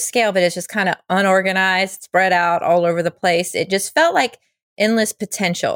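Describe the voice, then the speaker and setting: This woman has an ordinary speaking voice at medium pitch, moving at a moderate pace. The recording is very clean with a silent background, and the sound is dry and close with no echo. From North Carolina, US South. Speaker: musician and vodka brand founder. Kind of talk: interview.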